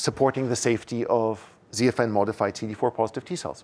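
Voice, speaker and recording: A man's voice at a medium pitch, with ordinary pitch variation. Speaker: scientist lecturer. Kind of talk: lecture. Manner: fast; halting, repeats words.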